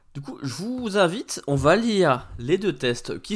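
Very wide pitch swings run through this man's speech. He talks at a fairly slow pace. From France, Paris region. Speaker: retro video game podcaster. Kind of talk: casual solo commentary. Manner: informal, swearing-laced.

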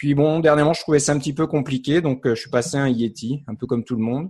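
On a very clean recording with a silent background and a dry, close sound with no echo, a man talks at a moderate pace with ordinary pitch variation. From France, Paris area. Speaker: software developer and podcast co-host. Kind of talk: casual chat.

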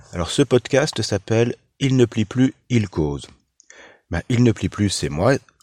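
A medium-pitched man with vocal fry and lively intonation speaks at a very slow pace with long, frequent pauses. The recording is very clean with a silent background. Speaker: podcaster. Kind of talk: casual monologue. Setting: in a car. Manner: halting, repeats words.

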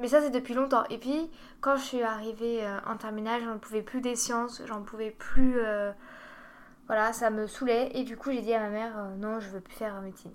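A woman speaks at a moderate pace in a plain, everyday voice, fairly high in pitch with fairly even intonation. Her loudness swings widely. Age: 20s. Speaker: dietetics student. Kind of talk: casual chat.

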